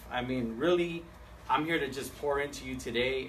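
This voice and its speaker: A medium-pitched man's voice with ordinary pitch variation, audible room echo and noticeable background noise. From San Diego, California. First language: Spanish. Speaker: seminar speaker, home loan professional. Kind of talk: seminar presentation. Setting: live event with audience, streamed on Facebook Live. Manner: animated; halting, many fillers and repeats.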